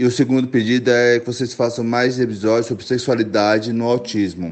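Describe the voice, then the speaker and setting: A man's plain, everyday voice, medium-pitched, at a moderate pace with fairly even intonation. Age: 30s. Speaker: listener, history teacher. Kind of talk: recorded voice message. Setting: WhatsApp voice message.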